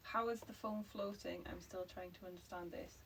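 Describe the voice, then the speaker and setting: A woman with a Geordie accent speaks at a fairly slow pace. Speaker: livestream co-host, English teacher. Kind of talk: casual chat. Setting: livestream.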